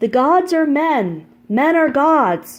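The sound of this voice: A woman's put-on character voice, guttural and high-pitched, with very wide pitch swings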